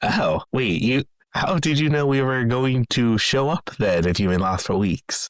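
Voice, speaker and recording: A man puts on a character voice at a medium pitch. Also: moderate pace. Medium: actual play. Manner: cocky.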